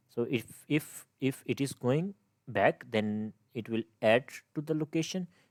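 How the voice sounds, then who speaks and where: A man with a non-native accent speaks with lively intonation in a dry, close sound with no echo. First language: not English. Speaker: game development tutor. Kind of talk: tutorial. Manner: halting, many fillers and restarts.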